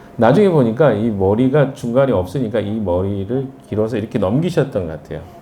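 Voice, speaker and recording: Lively in intonation, a man talks at a fairly quick pace. Room echo is audible, and there is noticeable background noise. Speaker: pastor. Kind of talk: sermon. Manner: conversational, hesitant fillers.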